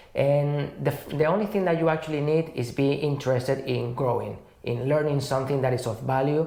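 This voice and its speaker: The speech comes at a fairly quick pace with ordinary pitch variation. Room echo is audible, and background noise is noticeable. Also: woman. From abroad, from a distant country. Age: 30s. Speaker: energy management trainee. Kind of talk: interview.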